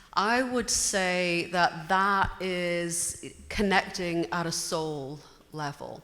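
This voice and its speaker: With a British accent, a woman talks at a very slow pace in a bright, sharp tone. Her pitch sits fairly low, with ordinary pitch variation. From Britain. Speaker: audience member. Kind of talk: audience question.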